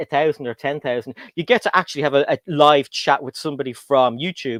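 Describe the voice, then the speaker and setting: A man with an Irish accent at a very fast pace, dry and close with no echo. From Ireland. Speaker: LEGO YouTuber and guest host. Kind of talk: casual chat. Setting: livestream.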